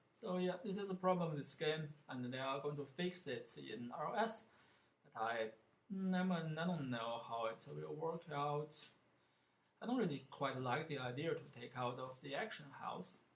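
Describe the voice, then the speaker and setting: Somewhat breathy and fairly high-pitched, a man with a non-native accent speaks at a moderate pace with lively intonation. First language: not English. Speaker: gaming streamer. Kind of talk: gameplay commentary. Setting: live stream. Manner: halting, many fillers.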